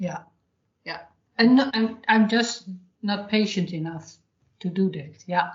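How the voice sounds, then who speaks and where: Speaking in a Dutch accent, a woman with a somewhat breathy, medium-pitched voice goes at a fairly slow pace with long, frequent pauses, big swings in loudness and ordinary pitch variation. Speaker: podcast host, hypnotherapist. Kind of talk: podcast intro; casual interview chat.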